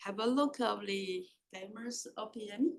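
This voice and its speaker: A woman in a Taiwanese accent speaks with ordinary pitch variation. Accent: Taiwanese accent, noticeable. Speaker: professor. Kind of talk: lecture.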